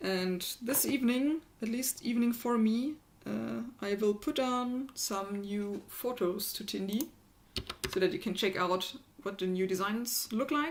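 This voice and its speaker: Noticeable background noise runs behind a woman with a fairly high pitch. She talks at a fairly slow pace with ordinary pitch variation. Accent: strong German. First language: German. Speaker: maker and electronics hacker. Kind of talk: casual livestream chat.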